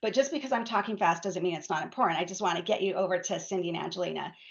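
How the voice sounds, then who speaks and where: Noticeable noise fills the background as a woman talks. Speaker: patient advocacy director hosting a webinar. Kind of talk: webinar presentation. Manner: fast.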